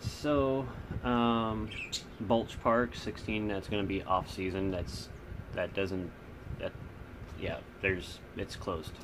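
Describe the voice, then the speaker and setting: There is noticeable background noise as a man talks at a very slow pace with long, frequent pauses. His pitch is fairly low, with ordinary pitch variation. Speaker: vlogger. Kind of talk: casual vlog chat. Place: home room. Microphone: phone near.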